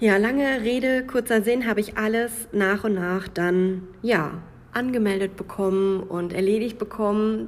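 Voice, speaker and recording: In a Münsterland accent, a woman talks at medium pitch with fairly even intonation. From Münsterland, Germany. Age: 20s. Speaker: podcaster. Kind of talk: personal monologue podcast.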